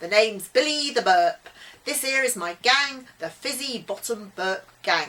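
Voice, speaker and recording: A woman's drawling, put-on character voice, high in pitch with lively intonation, at a moderate pace. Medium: read story.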